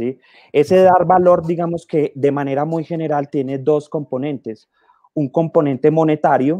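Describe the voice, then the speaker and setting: The tone is dark and mellow, delivered at a moderate pace. The sound is dry with no echo, over a quiet background. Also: man. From Colombia. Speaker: conservation biologist, guest moderator; guest. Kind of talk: panel Q&A moderation. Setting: video call. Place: home room. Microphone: earbuds.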